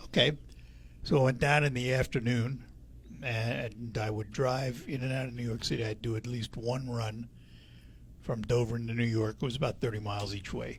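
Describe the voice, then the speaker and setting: A man speaks at a moderate pace in a medium pitch, his voice somewhat breathy and his intonation flat and monotone. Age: 80s+. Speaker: radio host. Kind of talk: radio interview.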